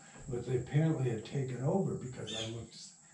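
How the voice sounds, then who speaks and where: With an American accent, a man talks at medium pitch amid noticeable background noise and audible room echo. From US Midwest, Michigan. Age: 80s+. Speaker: radio drama producer. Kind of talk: interview storytelling. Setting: at home. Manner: halting.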